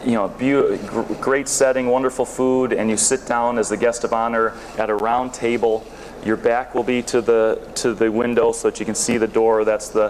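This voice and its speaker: A man with an American accent speaks at a medium pitch and moderate pace, his intonation monotone and flat. Noticeable background noise sits behind him. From northern US near Canada. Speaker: sourcing consultant. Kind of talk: conference talk. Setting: stage with audience. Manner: halting with frequent repetitions and fillers.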